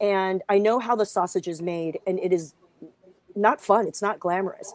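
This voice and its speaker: With an American accent, a woman speaks at a moderate pace in an unremarkable speaking voice, medium in pitch with fairly even intonation. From Los Angeles, US West Coast. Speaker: comedian and guest co-host. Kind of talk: casual chat.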